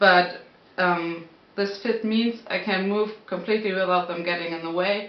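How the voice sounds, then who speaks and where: With audible room echo, a woman with a non-native accent speaks at a fairly slow pace and fairly even intonation. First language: not English. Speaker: knitting podcaster. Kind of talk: casual talk to camera. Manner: hesitant, searching for words. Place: home room. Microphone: camera far.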